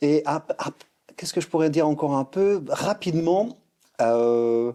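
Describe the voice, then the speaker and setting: A man speaks at a fairly slow pace with lively intonation. His voice is fairly high, with a dark, mellow tone. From Luxembourg. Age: 40s. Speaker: streetwear brand founder and former breakdancer. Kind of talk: podcast interview. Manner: hesitant, many fillers and restarts.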